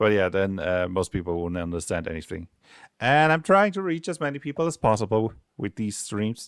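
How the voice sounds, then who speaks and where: Over a very clean recording with a silent background and a dry, close sound with no echo, a man with a slight German accent talks at a fairly quick pace and fairly low pitch, making very wide pitch swings. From Germany. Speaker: game designer streamer. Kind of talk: casual livestream commentary. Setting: livestream.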